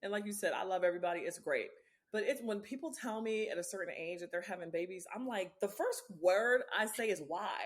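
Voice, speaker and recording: A woman with an unremarkable speaking voice and a medium pitch talks at a fairly quick pace with ordinary pitch variation. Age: 40s. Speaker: podcast host. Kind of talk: casual interview chat.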